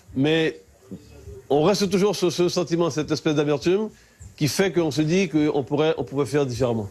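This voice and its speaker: His pitch shows ordinary variation. The man moves at a fairly quick pace. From French Guiana, Kourou. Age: 60s. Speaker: local resident interviewed. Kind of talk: interview testimony. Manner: halting with repetitions.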